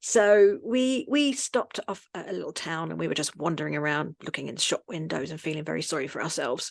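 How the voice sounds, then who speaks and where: In a dry, close recording with no echo, a woman with a London accent talks at a fairly quick pace with lively intonation. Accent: Cockney London. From London, England. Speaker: expat website and magazine creator. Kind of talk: podcast interview storytelling.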